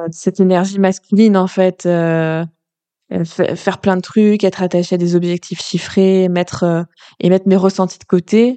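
Over a quiet background, a woman speaks fairly slowly at a medium pitch with a dark, mellow tone, monotone flat intonation and very even loudness, the sound dry and close with no echo. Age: 30s. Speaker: podcast host and life coach. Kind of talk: spontaneous solo monologue. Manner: halting, many fillers.

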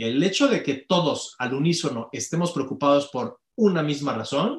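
Speaking with a somewhat breathy quality, this man has a fairly high pitch. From Mexico. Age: 40s. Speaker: company director and conference speaker. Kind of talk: interview conversation.

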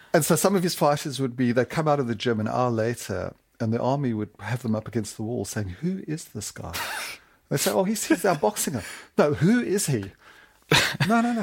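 Speaking at a fairly quick pace, a man with a medium pitch and a somewhat breathy voice swings very widely in pitch. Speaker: sportswriter. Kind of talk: interview. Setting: studio.

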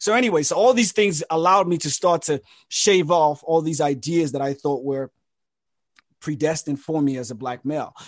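A man's fairly high voice with a London accent, lively intonation and a fairly quick pace. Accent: British (London) English. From England, with childhood in Nigeria and California. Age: 30s. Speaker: artist and mental health researcher. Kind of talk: podcast interview.

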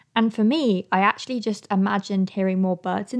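On a very clean recording with a silent background, a woman talks at a moderate pace in an ordinary speaking voice, medium in pitch with ordinary pitch variation. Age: 20s. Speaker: podcast host and climate activist. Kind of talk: solo podcast monologue.

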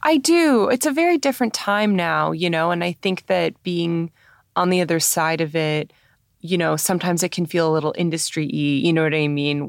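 A woman's fairly low, fairly quick speech in a Canadian accent, a plain, everyday voice with ordinary pitch variation on a very clean recording with a silent background. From Canada, Toronto. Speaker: film director and screenwriter. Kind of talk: interview conversation. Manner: casual with many fillers.

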